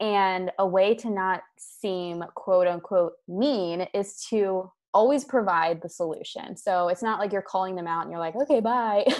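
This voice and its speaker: Speaking at a fairly slow pace, a woman uses a medium pitch with ordinary pitch variation against a quiet background. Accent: American. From US, Maryland. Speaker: sales and marketing coach. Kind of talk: casual interview.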